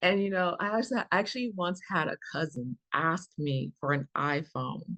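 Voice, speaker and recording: An unremarkable speaking voice, a woman's, moves at a fairly slow pace with lively intonation against a quiet background, the sound dry and close with no echo. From Chicago. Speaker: stand-up comedian. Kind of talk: stand-up comedy set.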